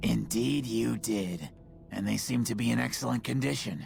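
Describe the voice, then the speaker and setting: A raspy, put-on character voice at a moderate pace, with very wide pitch swings and clear music in the background. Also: man, very deep, low pitch for a man. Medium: video game. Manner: wry, bitter.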